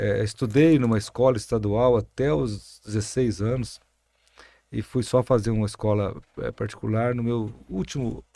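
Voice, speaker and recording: Dark and mellow in tone, this voice keeps a moderate pace and shows ordinary pitch variation. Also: man, medium pitch for a man. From Brazil, interior of São Paulo state. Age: 60s. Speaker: mayor and physician. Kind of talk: podcast interview.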